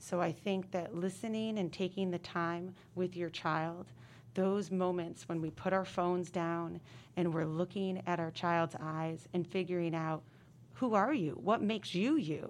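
A woman talks at a fairly low pitch in an ordinary speaking voice, at a fairly slow pace. Her pitch varies in an ordinary way, and the recording is very clean with a silent background. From upstate New York. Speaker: middle school principal. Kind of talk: casual interview.

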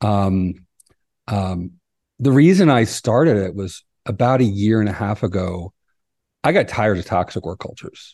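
Against a quiet background, a man speaks at a moderate pace with a fairly low pitch, a dark, mellow tone, ordinary pitch variation and long, frequent pauses. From US East Coast. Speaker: cybersecurity company CEO. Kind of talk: interview conversation. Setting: video call.

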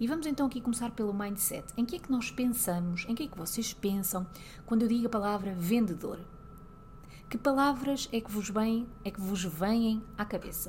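Speaking with a European Portuguese accent, a woman has a fairly high pitch. Her pace is moderate and her intonation lively. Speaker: lawyer and podcast host. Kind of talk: solo podcast monologue.

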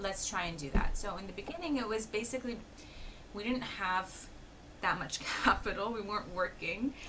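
Noticeable background noise surrounds a woman talking in a medium pitch. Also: lively intonation, moderate pace. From Palestinian family. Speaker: embroidery design business founder. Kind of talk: casual interview.

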